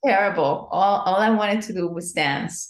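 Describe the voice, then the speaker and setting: A woman with a Spanish accent talks at a fairly slow pace, her medium pitch showing ordinary variation. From Venezuela. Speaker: dance professor. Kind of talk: interview.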